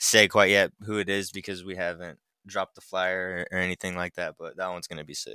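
A man's fairly low pitch and an unremarkable speaking voice, in a very clean recording with a silent background and a dry, close sound with no echo. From Idaho. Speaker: rapper and skater. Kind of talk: casual chat.

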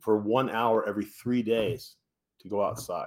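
A man speaks at a moderate pace and medium pitch, his intonation flat and monotone. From US West Coast, San Francisco Bay Area. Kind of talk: interview testimony.

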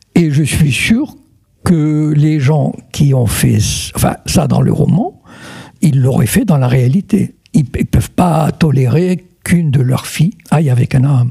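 Speaking at a very slow pace, a man with a fairly high pitch keeps his loudness very even, with ordinary pitch variation. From Morocco, Meknès. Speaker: writer. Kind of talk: interview. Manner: halting.

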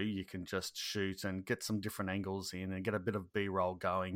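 In an Australian accent, a man with a very deep, low voice talks at a moderate pace, the recording very clean with a silent background and a dry, close sound with no echo. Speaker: YouTube gardening creator, former soldier. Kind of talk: casual interview chat. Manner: halting, filler-heavy.

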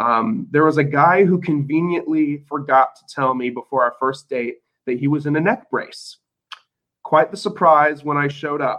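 Pitched fairly high, a man uses a normal speaking voice with lively intonation. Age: 20s. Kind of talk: casual chat.

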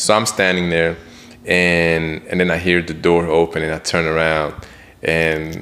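With monotone, flat intonation, a man talks in a very deep, low pitch. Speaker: podcast co-host. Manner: casual, talkative.

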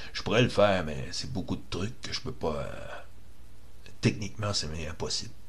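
A man with a Quebec accent speaks at a fairly slow pace with hardly any pauses, fairly low in pitch and lively in intonation, with audible room echo. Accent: Québécois French. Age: 50s. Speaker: activist, online radio host. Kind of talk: monologue, political rant.

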